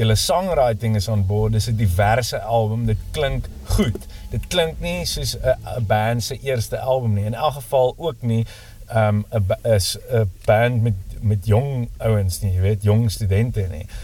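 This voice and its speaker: Medium male pitch with ordinary variation, set against noticeable background noise. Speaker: podcast interviewer. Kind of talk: casual interview.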